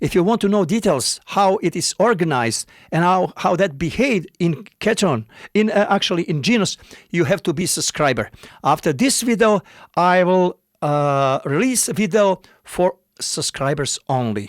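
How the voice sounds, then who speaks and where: A man's high voice in a Bosnian accent, lively in intonation, at a moderate pace, on a very clean recording with a silent background and a dry, close sound with no echo. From Bosnia, Modrica (north Bosnia). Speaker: music keyboard demonstrator. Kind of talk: tutorial. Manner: halting, with many fillers.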